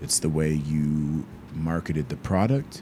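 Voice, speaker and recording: Noticeable background noise runs beneath a man talking with an American accent. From US South, Georgia. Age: 20s. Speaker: violist and content creator. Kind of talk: interview. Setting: remote call from his bedroom.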